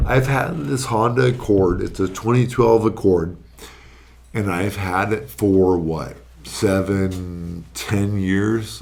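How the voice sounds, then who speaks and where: In a fairly low voice with an American accent, a man speaks at a fairly slow pace with ordinary pitch variation, and audible room echo surrounds him. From Arizona, Phoenix area. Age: 30s. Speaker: registered nurse. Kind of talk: casual podcast chat.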